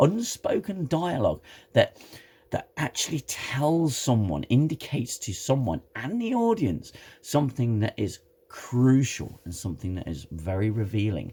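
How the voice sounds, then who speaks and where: This man's medium-pitched, somewhat breathy voice moves at a moderate pace and swings very widely in pitch. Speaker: TV show reviewer. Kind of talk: casual talk to camera.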